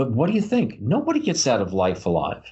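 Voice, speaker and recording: A man at a fairly quick pace, somewhat breathy, with very wide pitch swings. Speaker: podcast co-host. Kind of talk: casual chat. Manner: animated.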